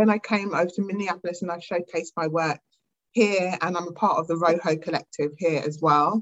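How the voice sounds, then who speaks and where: Speaking at a fairly quick pace, a woman with a British accent keeps a fairly low pitch and fairly even intonation. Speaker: artist. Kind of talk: interview conversation. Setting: video call.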